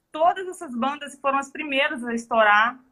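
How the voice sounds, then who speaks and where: The intonation here is lively. The speaker is a woman with a bright, sharp tone. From Belo Horizonte, Brazil. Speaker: show business entrepreneur. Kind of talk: casual interview.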